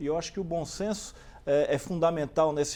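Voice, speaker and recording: This man's high voice has a dark, mellow tone, and its pitch varies in an ordinary way. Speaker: state environment secretary. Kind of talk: TV interview answer.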